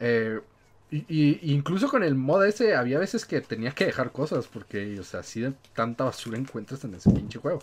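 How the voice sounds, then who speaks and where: In a Mexican accent, a man with a medium pitch speaks at a moderate pace with very wide pitch swings, on a very clean recording with a silent background. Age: 20s. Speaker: podcast host. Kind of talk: casual chat.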